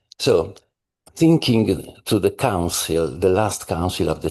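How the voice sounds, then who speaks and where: The speaker has an Italian accent. The background is quiet. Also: man. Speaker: scholar. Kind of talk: conference discussion question. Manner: halting.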